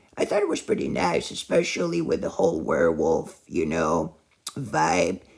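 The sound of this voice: The voice is raspy with vocal fry, a slightly husky edge and a slightly mellow tone. It moves at a fairly slow pace through very wide pitch swings. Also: man.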